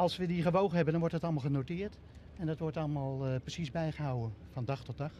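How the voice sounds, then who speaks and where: A man with a fairly high, somewhat breathy voice speaks very fast with ordinary pitch variation. The sound is dry with no echo, and light background noise runs beneath. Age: 60s. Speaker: pumping station manager. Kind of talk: on-location TV interview. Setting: on location at a pumping station. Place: waterside. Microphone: handheld.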